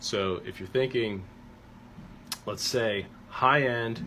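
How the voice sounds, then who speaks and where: Audible room echo surrounds this man's voice. His tone is bright and sharp, and he speaks very slowly. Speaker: strength coach. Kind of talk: tutorial. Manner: casual with fillers.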